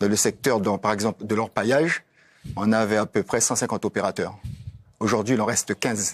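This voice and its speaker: A man speaks at a fairly quick pace and fairly low pitch, with very even loudness and long, frequent pauses. The sound is dry and close, with no echo. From French Guiana. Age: 60s. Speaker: politician. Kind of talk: TV panel debate. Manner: animated.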